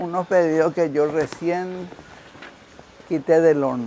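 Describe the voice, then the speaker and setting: Against noticeable background noise, the voice moves at a very slow pace with ordinary pitch variation. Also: man. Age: 70s. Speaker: ceramics artisan. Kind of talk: casual interview.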